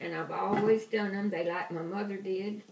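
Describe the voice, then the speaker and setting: A woman speaks with a Southern US accent. Noticeable background noise is present. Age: 80s+. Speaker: grandmother teaching baking. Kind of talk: cooking demonstration to family. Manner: slow.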